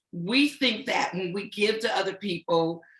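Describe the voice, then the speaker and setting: The voice has a bright, sharp tone and lively intonation, delivered at a fairly slow pace. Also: woman. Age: 60s. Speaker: talk show host and organization president. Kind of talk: panel discussion.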